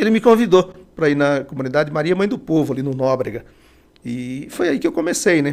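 Fairly quick pace and lively intonation over noticeable background noise. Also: man, fairly high pitch for a man. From Bahia, Brazilian Northeast. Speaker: city councillor. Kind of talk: podcast interview. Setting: studio with cameras.

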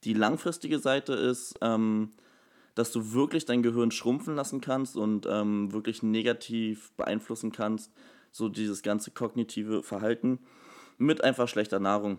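A man speaks in a plain, everyday voice at medium pitch. His intonation is fairly even and his pace moderate. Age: 20s. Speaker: personal trainer and nutrition coach. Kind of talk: casual interview. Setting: studio, sitting next to host.

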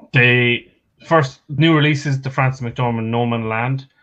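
A man with an Irish accent, fairly even in intonation, against a quiet background. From Ireland. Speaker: stats pundit. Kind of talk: casual chat.

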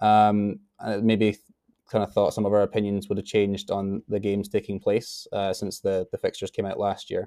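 A man with a fairly low, dark, mellow voice talks at a fairly quick pace in monotone, flat intonation, recorded very cleanly with a silent background and a dry, close sound with no echo. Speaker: podcast co-host. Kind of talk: casual banter.

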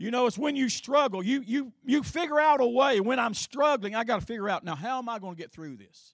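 In a very clean recording with a silent background, a man with an Appalachian accent speaks at an extremely high pitch with lively intonation, big swings in loudness and hardly any pauses. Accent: Appalachian US Southern. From eastern Kentucky. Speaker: Sunday school teacher. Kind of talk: Bible teaching to a church class.

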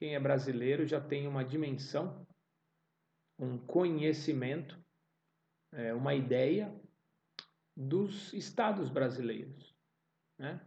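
A man's somewhat breathy voice in a São Paulo accent, dark and mellow in tone, at a very slow pace with long, frequent pauses and ordinary pitch variation, with audible room echo. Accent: Paulistano Brazilian Portuguese. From São Paulo city, Brazil. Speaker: Portuguese teacher podcaster. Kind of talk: language-learning monologue. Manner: slow, repetitive for learners.

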